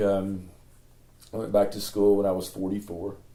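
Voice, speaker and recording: A man with an Appalachian accent, his tone dark and mellow, at a fairly slow pace. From East Tennessee. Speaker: former parks and recreation director. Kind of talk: interview answer.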